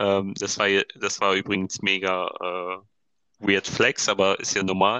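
A man with a fairly low pitch talks at a fairly slow pace in a monotone, flat intonation. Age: 20s. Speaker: design student and podcast co-host. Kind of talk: casual chat. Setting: phone recording. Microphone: phone microphone, sounds like a call.

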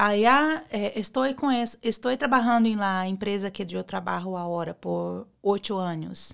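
An unremarkable speaking voice from a woman at medium pitch, fairly slow but with hardly any pauses, ordinary pitch variation, in a very clean recording with a silent background. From Brazil. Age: 40s. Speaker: beauty clinic worker. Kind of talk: interview.

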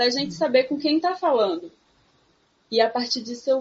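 This woman's pitch is high. Her intonation is lively. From sertão of Pernambuco, Brazil. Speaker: psychologist. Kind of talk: casual chat.

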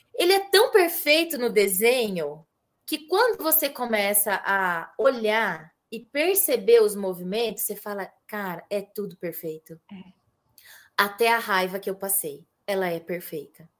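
At a fairly slow pace, a woman with an ordinary speaking voice uses lively intonation on a very clean recording with a silent background. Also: medium pitch for a woman, big swings in loudness. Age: 30s. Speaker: family constellation therapist. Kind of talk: casual chat.

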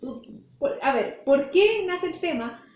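Audible room echo surrounds a woman who talks at a very slow pace with lively intonation. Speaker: podcast co-host. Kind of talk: casual chat.

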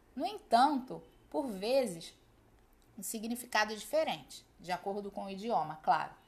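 A woman with a Brazilian accent speaks at a moderate pace, her voice fairly high and somewhat breathy. Her intonation is lively. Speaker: Spanish teacher. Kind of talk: educational podcast lesson. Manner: clear, didactic.

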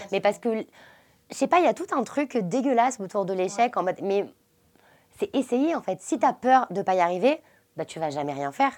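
A woman speaks at a moderate pace in a fairly high voice, her pitch swinging very widely, with long, frequent pauses, on a very clean recording with a silent background. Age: 20s. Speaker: entrepreneur, founder of a menstrual products brand. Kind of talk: casual chat. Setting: hotel room, sitting on a bed.

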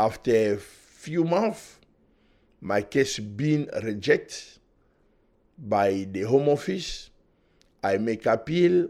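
A man of medium pitch at a very slow pace, with very wide pitch swings and long, frequent pauses. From Democratic Republic of Congo. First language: French. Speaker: refugee and human rights activist. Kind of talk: interview testimony.

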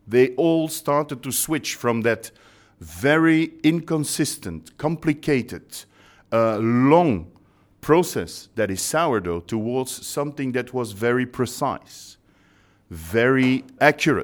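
With a Belgian accent, a man speaks at a medium pitch and a very slow pace. His intonation is lively, and the recording is very clean with a silent background. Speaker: baking company trainer.

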